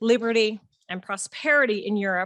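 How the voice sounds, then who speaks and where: At a moderate pace, a woman with an American accent and a medium pitch talks in an unremarkable speaking voice, recorded dry and close with no echo against a quiet background. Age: 40s. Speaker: conference organizer giving welcome speech. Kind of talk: welcome speech. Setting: conference hall with audience. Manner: formal.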